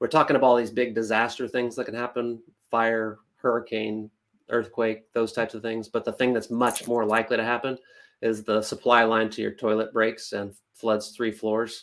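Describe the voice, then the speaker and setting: With an American accent, the man keeps a moderate pace and a monotone, flat intonation. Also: medium pitch for a man, very clean recording, silent background. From central Kansas and Nebraska small towns. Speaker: insurance agency founder. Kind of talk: interview.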